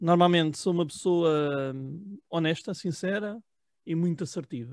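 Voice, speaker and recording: Recorded very cleanly against a silent background, a man speaks fairly slowly with ordinary pitch variation in a dry, close sound with no echo. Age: 30s. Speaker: political commentary panelist, hospitality worker. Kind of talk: casual self-introduction. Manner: halting, with many fillers.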